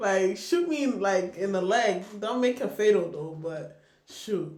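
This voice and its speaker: A woman with an American accent, medium-pitched and animated, at a fairly slow pace with ordinary pitch variation, amid audible room echo and noticeable background noise. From Nigeria. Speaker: podcast host. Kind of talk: casual chat.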